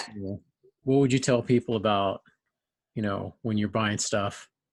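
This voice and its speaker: A man's fairly low voice with fairly even intonation at a moderate pace, against a quiet background. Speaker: podcast host. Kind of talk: casual interview talk.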